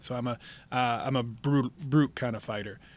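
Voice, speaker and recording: On a very clean recording with a silent background, a man with a Midwestern American accent speaks at a fairly quick pace. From Michigan, Detroit downriver area. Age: 40s. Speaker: pro wrestler and stuntman. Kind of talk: interview. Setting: studio. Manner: halting.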